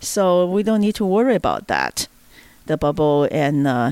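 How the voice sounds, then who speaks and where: The sound is dry and close, with no echo. A woman speaks with a Chinese accent. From China. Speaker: libertarian activist. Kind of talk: casual chat. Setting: at home roundtable. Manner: halting.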